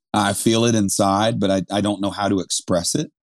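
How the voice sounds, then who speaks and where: A plain, everyday voice, a man in an American accent at a fairly low pitch and moderate pace, fairly even intonation, dry, close sound with no echo, quiet background. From Vermont, US. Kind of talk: personal testimony.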